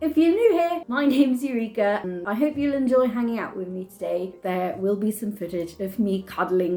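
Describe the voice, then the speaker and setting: Music plays in the background as a speaker with a British accent makes very wide pitch swings. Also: woman. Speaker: video creator.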